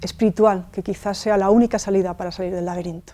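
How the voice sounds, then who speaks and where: A woman's medium-pitched voice, dark and mellow in tone, with monotone, flat intonation and a fairly quick pace. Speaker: interviewer. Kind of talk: interview host.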